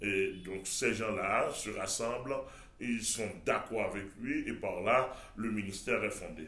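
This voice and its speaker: Audible room echo surrounds a man speaking very slowly in a fairly low voice. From Haiti. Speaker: pastor. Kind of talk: TV interview. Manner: halting, many repetitions.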